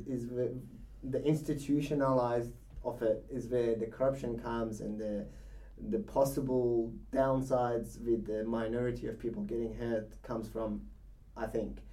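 The man talks at a moderate pace with fairly even intonation. His tone is dark and mellow. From Iran. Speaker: podcast co-host. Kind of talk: casual chat.

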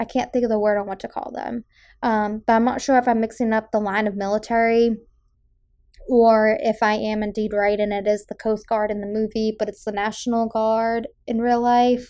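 This voice has a dark, mellow tone and an American accent, delivered at a moderate pace. The intonation is monotone and flat, and the recording is very clean with a silent background. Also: woman, fairly high pitch for a woman. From Massachusetts South Shore. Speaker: podcast host. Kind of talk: solo film review podcast. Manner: casual with filler words.

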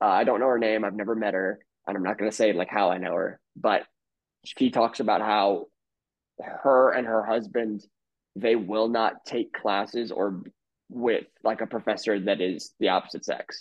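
A man speaks in a plain, everyday voice at a fairly low pitch. His intonation is fairly even and his pace is moderate. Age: 20s. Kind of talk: casual interview chat.

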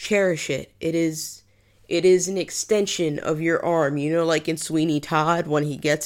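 A fairly low-pitched woman in a New England accent at a fairly slow pace, on a very clean recording with a silent background. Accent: New England American. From New England, US. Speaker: podcast host and field archaeologist. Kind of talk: solo podcast monologue. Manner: casual, conversational with fillers.

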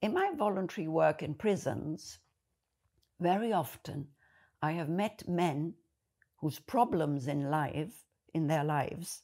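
A woman with a German accent, dark and mellow in tone, in a very clean recording with a silent background. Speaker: video blogger. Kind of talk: monologue to camera.

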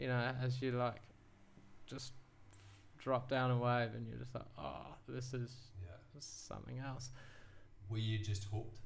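A somewhat breathy male voice at medium pitch, fairly slow and fairly even in intonation, with long, frequent pauses. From England, then Wellington, New Zealand. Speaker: surfboard shaper. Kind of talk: casual interview chat. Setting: in-person, same room.

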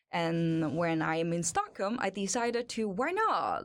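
Speaking with a Hong Kong accent, the voice moves at a fairly slow pace through very wide pitch swings. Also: woman. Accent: Hong Kong Cantonese-accented English. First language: Cantonese. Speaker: industrial designer and model. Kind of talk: casual interview. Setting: studio.

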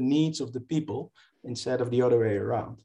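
A man with a Dutch accent speaks at medium pitch in a dark, mellow tone with ordinary pitch variation. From southern Netherlands. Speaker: professor. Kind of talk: interview. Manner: halting.

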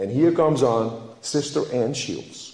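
Audible room echo surrounds a man whose fairly high-pitched voice has a dark, mellow tone and vocal fry. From Netherlands. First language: Dutch. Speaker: lay preacher, flower farmer. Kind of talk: sermon. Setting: church.

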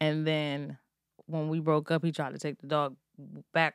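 In an American accent, a woman speaks at a very deep, low pitch, the sound dry and close with no echo on a very clean recording with a silent background. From Maryland, US. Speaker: podcast host. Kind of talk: casual chat.

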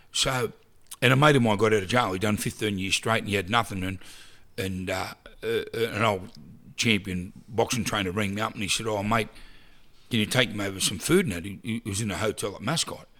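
A man's fairly low voice, bright and sharp in tone, fairly even in intonation and fairly quick in pace. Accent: Australian. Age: 50s. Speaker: charity founder and prison chaplaincy member. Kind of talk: casual interview chat. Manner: chatty, rambling, forgetful.

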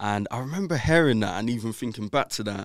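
A man talks in a London accent. The recording is very clean, with a silent background. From South London, England. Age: 20s. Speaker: entrepreneur and author. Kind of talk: interview. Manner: casual, filler-heavy.

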